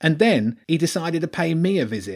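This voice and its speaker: A shrill, whiny put-on character voice moves at a moderate pace on a very clean recording with a silent background. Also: man. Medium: read story. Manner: whiny, self-pitying.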